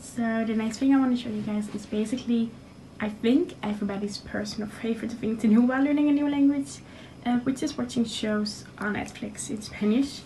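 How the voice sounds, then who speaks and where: Through noticeable background noise and audible room echo, a woman with a Dutch accent speaks fairly quickly at a fairly high pitch, with ordinary pitch variation. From Netherlands. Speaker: university student. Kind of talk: tutorial. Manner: hesitant, many fillers.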